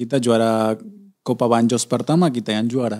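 In a quiet background, a man with a Spanish accent speaks in a dark, mellow tone. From Argentina. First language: Spanish (speaking Indonesian). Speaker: former footballer and coach; guest. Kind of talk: interview; interview answer. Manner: halting, repeats words. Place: studio. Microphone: studio mic.

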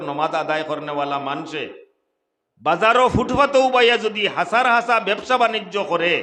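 A man speaks with a Sylheti accent. His intonation is lively. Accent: Sylheti-accented Bengali. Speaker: Islamic preacher. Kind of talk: sermon.

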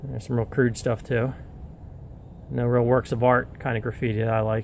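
Light background noise behind a man's dry voice with no echo. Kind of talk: casual vlog commentary. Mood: wistful, slightly defiant. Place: forest. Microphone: phone near.

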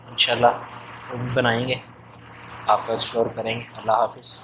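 A man talks over noticeable background noise. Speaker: food vlogger. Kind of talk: casual vlog chat. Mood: relaxed, content after meal. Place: cafe. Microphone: phone near.

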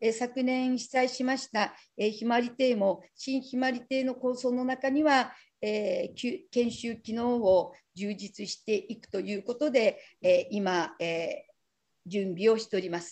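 Speaking fairly slowly, a woman uses a high pitch. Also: ordinary pitch variation, quiet background. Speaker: rural tourism practitioner, session coordinator; breakout session reporter. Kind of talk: conference session report. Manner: modest, self-deprecating. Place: hall. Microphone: video call.

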